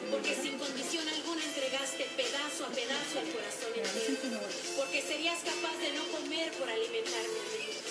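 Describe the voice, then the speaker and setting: Loud music plays in the background. The speech moves at a moderate pace. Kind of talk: poetry reading dedicated to mothers. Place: home room.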